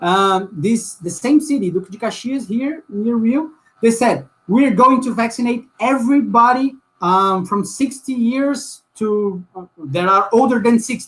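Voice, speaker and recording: A man with a Portuguese accent speaks at an extremely high pitch. His pace is fairly slow, with ordinary pitch variation. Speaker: social movement activist. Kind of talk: panel discussion. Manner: halting, many repetitions and fillers.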